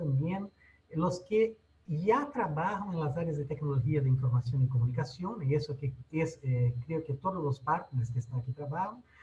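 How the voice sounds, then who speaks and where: His pitch is fairly high for a man. This man's voice swings very widely in pitch. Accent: non-native. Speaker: technology educator. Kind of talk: webinar presentation. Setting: online webinar. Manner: halting.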